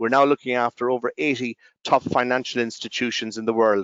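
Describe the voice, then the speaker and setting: A man speaks with an Irish accent. His pitch sits in the medium range. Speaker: company representative. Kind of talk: conference presentation. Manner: halting, many fillers.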